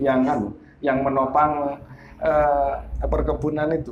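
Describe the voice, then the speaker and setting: This man's fairly high voice moves along at a moderate tempo. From Glenmore, Banyuwangi, East Java, Indonesia. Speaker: local history book author. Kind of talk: interview.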